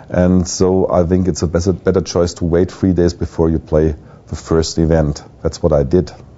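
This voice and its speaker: With a German accent, a man with a very deep, low voice speaks in a flat monotone at a moderate pace. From Germany. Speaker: poker pro. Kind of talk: video blog. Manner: halting.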